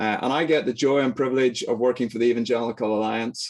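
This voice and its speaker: Medium pitch from a man, at a fairly quick pace. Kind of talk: lecture. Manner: fast; animated.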